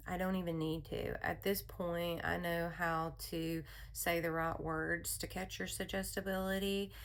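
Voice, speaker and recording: A woman speaks in a soothing tone at a fairly slow pace, hardly pausing, with audible room echo around her. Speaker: therapist and hypnotherapist. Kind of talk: spoken personal message. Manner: casual, with fillers.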